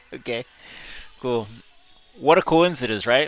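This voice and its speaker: Lively intonation marks this man's speech, delivered in an American accent. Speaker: gaming streamer. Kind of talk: live gameplay stream chat. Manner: casual, chatty.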